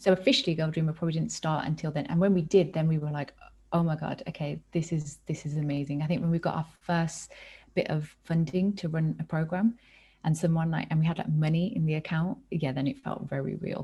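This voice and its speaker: A woman with a British accent speaks at a fairly quick pace in a very deep, low voice that is somewhat breathy and dark and mellow in tone, with ordinary pitch variation. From England, Birmingham. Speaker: nonprofit co-founder. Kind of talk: casual chat.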